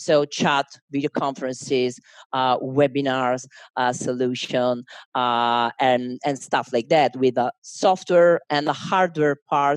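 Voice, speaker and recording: A woman speaks at a very slow pace with a dry, close sound and no echo. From Italy, Milan. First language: Italian. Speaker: marketing manager. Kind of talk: interview. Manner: halting, many fillers.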